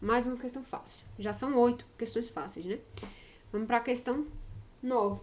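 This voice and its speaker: A woman's fairly high voice competes with noticeable background noise. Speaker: math teacher. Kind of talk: lecture. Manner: fast; animated.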